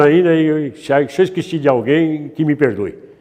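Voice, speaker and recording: Speaking at a moderate pace, a man uses a fairly high pitch and a dark, mellow tone. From Brazil, interior of São Paulo state (Sertãozinho). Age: 80s+. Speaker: elderly local resident. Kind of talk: interview.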